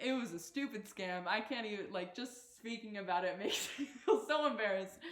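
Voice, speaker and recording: A woman with a fairly high pitch and ordinary pitch variation speaks at a moderate pace, with audible room echo. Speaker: university athlete. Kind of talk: casual chat. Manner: halting.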